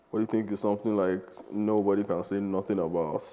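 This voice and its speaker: Fairly low male voice with monotone, flat intonation. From Nigeria. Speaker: podcast host and rapper. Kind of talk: casual interview. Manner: casual.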